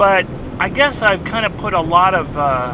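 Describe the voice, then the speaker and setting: Noticeable background noise sits behind a man with a high voice and ordinary pitch variation. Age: 60s. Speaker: treasure hunter vlogger. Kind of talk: casual vlog monologue. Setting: in a car. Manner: halting, self-correcting.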